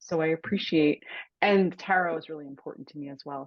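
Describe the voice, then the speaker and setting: Her pitch is very deep and low. The woman talks at a fairly quick pace. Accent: American. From Cape Cod, Massachusetts. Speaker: author and writing coach. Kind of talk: interview, dream discussion. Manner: halting.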